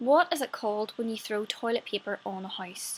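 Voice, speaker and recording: A woman speaks at a moderate pace with a Northern Irish accent, her pitch sitting in the medium range. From Northern Ireland. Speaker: actress. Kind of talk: casual talk to camera.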